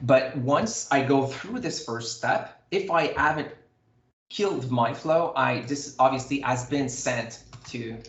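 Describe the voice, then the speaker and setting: Audible room echo surrounds a man speaking at a very slow pace. His pitch varies in an ordinary way. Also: fairly high pitch for a man. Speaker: software demo presenter. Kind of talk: live software demo tutorial.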